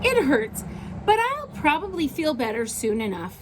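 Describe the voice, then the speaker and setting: Doing a put-on character voice, a woman speaks at a high pitch and moderate pace over clear background noise. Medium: read story. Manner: gentle, friendly.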